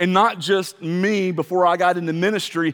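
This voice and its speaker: A man talks at a moderate pace in a high pitch. His pitch varies in an ordinary way. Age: 40s. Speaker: pastor. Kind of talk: sermon. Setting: church.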